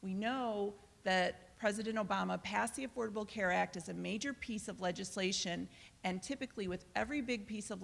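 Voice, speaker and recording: Fairly quick speech carries vocal fry and fairly even intonation. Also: woman. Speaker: congressional candidate. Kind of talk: panel debate answer. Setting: college event with audience, using mic. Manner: loud.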